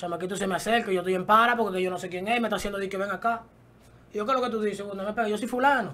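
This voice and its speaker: In a Dominican accent, a man talks at a very fast pace in a raised, projected voice with a high pitch. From Dominican Republic. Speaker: rapper; guest. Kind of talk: casual interview. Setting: studio. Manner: animated. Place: studio. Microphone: studio mic.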